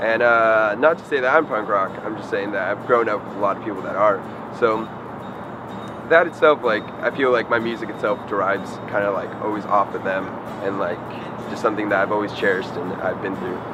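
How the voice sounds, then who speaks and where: Noticeable background noise sits behind this man. He talks at a fairly quick pace with an American accent and a fairly low pitch. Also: ordinary pitch variation. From Vallejo, California. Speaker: solo musician. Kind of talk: interview.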